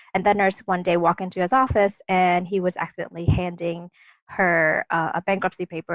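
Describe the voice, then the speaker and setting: In a Vietnamese accent, a woman with a fairly low pitch talks at a very fast pace, the sound dry and close with no echo. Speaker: dentist. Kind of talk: casual interview. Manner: hesitant, many fillers.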